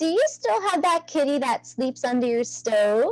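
A woman takes on a put-on character voice, pitched high. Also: moderate pace. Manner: calling out.

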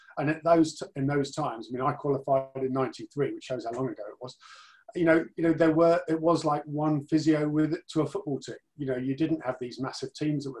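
Against a quiet background, a man talks at a fairly quick pace, somewhat breathy, with fairly even intonation. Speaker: interview guest. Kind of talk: interview answer. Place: home room. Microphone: video call.

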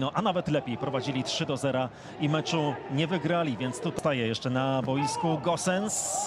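Speaking in an animated tone at a fairly quick pace, a man with a fairly high pitch keeps his loudness very even and his pitch variation ordinary against noticeable background noise. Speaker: football commentator. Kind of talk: live football commentary. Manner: animated, announcing goals emphatically.

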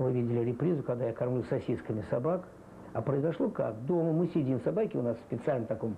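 A man's voice with vocal fry over light background noise. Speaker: animal trainer. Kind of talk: interview answer.

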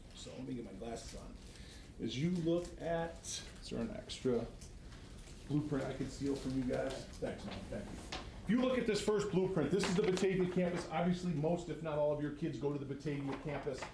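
A man speaks in a fairly high voice with an American accent and lively intonation. The room echo is audible, and background noise is noticeable. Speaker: regional education administrator presenting to school board. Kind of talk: formal presentation at board meeting. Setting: school board meeting room. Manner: fast; animated.

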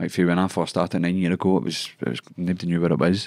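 Against a quiet background, a man with a Scottish accent speaks at a very deep, low pitch. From Scotland. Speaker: MMA fighter; guest. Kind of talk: casual chat. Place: studio. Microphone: studio mic.

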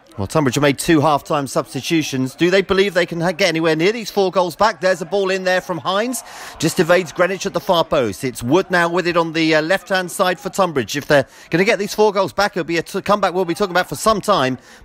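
A man talks at a very fast pace in a high pitch, his tone energetic. His pitch varies in an ordinary way over noticeable background noise. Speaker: football commentator. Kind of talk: live football match commentary, with a brisk play-by-play. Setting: outdoors at the ground on a cold afternoon. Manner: fast, clipped and energetic, naming players as they touch the ball; rises in excitement at the goals, with a dry, wry tone at the hat-trick and final score.

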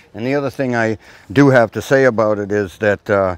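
Male voice at a medium pitch, ordinary pitch variation, dry sound with no echo. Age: 60s. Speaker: shipwright and boatbuilding channel host. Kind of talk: casual guided tour commentary. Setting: outdoors at a boat show. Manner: enthusiastic, frequent fillers like uh and you know. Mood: relaxed, cheerful. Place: waterside. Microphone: lapel.

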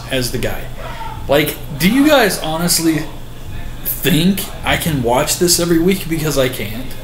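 A man is speaking. The recording has audible room echo and light background noise. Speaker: vlogger. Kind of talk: casual vlog rant. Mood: frustrated, exasperated. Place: home room. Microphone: webcam.

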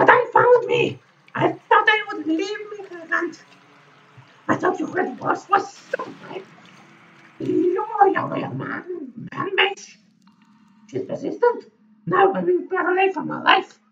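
An extremely high, put-on character voice moves at a fairly slow pace. It breaks often with long pauses. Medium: actual play. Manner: defiant, proud.

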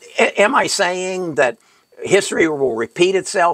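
The background is quiet and the sound dry with no echo. A man speaks with a high pitch at a fairly slow pace. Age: 80s+. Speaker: retired financial advisor and investing channel host. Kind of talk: tutorial. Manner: halting, stumbling over words. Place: home room.

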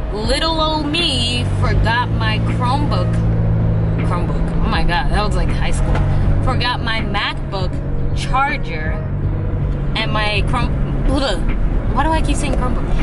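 With music in the background, a woman speaks at a fairly slow pace with long, frequent pauses and a dry sound with no echo. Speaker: college student vlogger. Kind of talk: casual vlog chat. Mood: playful, self-mocking. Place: car. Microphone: phone near.

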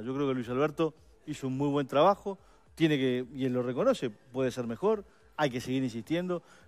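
At a fairly quick pace, the pitch shows ordinary variation. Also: man. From Uruguay. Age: 50s. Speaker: political adviser, campaign policy coordinator; guest. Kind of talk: radio/TV panel interview. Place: studio.

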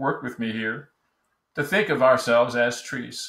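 A man's medium-pitched voice with an American accent, bright and sharp in tone, with fairly even intonation, audible room echo and a quiet background. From New Jersey. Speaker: business storytelling coach; presenter or coach. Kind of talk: online course video lesson. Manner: casual, with frequent fillers. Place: home room. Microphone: webcam.

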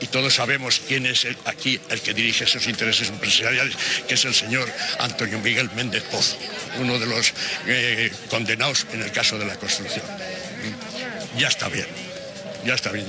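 Pausing often and at length, a man talks at a moderate pace against noticeable background noise. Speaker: retired neighbourhood activist. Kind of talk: interview answer. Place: street. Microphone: handheld.

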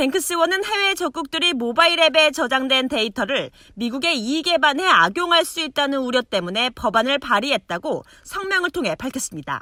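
Delivery comes at a moderate pace with hardly any pauses. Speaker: news reporter. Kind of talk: news report. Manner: formal.

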